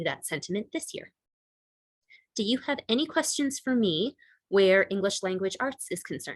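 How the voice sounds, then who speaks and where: A woman with a plain, everyday voice talks at a moderate pace with lively intonation, the sound dry and close with no echo. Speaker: middle school English teacher. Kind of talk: presentation to parents on video call.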